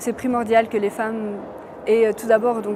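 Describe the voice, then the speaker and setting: A woman at a fairly high pitch, monotone and flat in intonation, at a moderate pace with music in the background. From Romania. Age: 20s. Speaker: law student and author. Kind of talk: interview answer.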